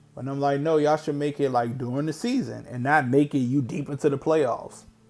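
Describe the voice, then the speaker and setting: Music plays behind a man with a fairly high pitch. He talks at a fairly quick pace with fairly even intonation. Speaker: sports streamer, live game reaction. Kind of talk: live reaction commentary.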